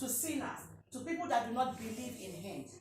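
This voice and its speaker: Noticeable background noise under a high-pitched woman's moderately paced speech. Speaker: preacher. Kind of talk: sermon preaching.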